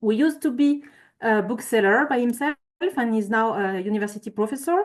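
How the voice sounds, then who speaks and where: With a French accent, the speaker uses ordinary pitch variation against a quiet background. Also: woman. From France. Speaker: climate consultant. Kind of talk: conference presentation. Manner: halting.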